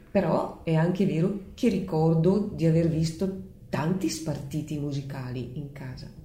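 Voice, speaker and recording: A woman's very deep, low voice, dark and mellow in tone and somewhat breathy, at a fairly slow pace with ordinary pitch variation and audible room echo. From Leffe, Bergamo province, northern Italy. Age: 60s. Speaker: bell-ringer's daughter, local enthusiast. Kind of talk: interview.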